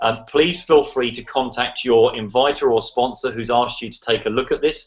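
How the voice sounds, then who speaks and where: A man speaks at a medium pitch and a moderate pace. His intonation is fairly even, while his loudness swings widely. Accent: English. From England. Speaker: online business promoter. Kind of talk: online video hangout presentation. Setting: video call.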